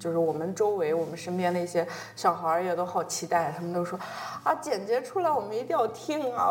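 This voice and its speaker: With a northern Chinese accent, a woman talks at medium pitch. Her pace is fairly quick. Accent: northern Chinese dialect features. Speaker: podcast host. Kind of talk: casual interview.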